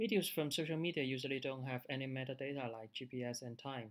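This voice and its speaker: Speaking with a non-native accent, this voice moves at a fairly quick pace with fairly even intonation. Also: man. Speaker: researcher. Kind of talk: technical demo narration over slides.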